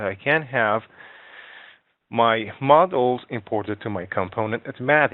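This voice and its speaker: A man speaks with a non-native accent. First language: not English. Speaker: software instructor. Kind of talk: tutorial. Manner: halting.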